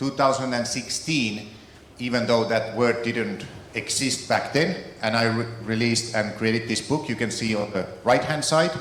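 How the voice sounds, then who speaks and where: Speaking at a moderate pace and medium pitch, a man talks in a Finnish accent. Audible room echo and noticeable background noise are present. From Finland. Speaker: keynote speaker on AI, author. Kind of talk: keynote speech.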